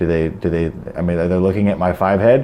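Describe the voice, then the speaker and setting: The voice belongs to a man with an American accent. Noticeable background noise runs underneath. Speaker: self-help vlogger. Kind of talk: casual monologue. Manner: stuttering, repeats words.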